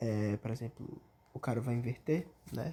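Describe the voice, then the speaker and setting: Dark, mellow tone in a somewhat breathy male voice. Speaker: gameplay tutorial streamer. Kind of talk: tutorial. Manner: fast; casual slangy.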